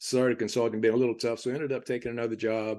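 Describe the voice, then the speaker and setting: In a quiet setting, a man speaks at a medium pitch with an American accent. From Virginia, US South (Roanoke). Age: 70s. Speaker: real estate investor, retired teacher. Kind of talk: casual interview.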